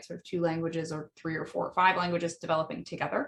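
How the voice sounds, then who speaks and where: This is a woman speaking. She has a Midwestern American accent. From US Midwest. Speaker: language educator. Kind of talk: podcast monologue. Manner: frequent fillers, um and uh.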